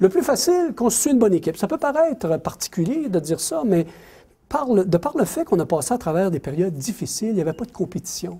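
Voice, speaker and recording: The tone is dark and mellow, with very wide pitch swings. The delivery comes at a very fast pace. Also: man, high pitch for a man. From Quebec City, Quebec. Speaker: mining company executive. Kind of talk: lecture. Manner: animated, repetitive.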